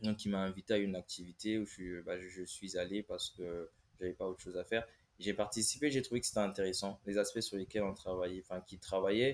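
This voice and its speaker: Delivered very fast, the speech keeps a fairly even intonation. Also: man, fairly low pitch for a man. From Congo. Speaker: engineering consultant. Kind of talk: casual interview.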